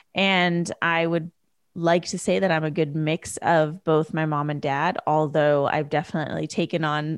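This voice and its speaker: In an ordinary speaking voice, a woman talks at a fairly slow pace and a fairly low pitch, with a Canadian accent. The sound is dry and close with no echo, over a quiet background. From Canada, British Columbia. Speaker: podcast host, entrepreneur coach. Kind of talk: solo podcast monologue.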